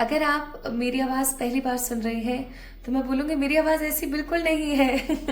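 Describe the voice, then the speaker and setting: Against music in the background and audible room echo, a woman speaks in a high pitch with ordinary pitch variation. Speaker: tarot reader. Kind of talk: tarot reading to camera. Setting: early morning recording at home. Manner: casual, chatty.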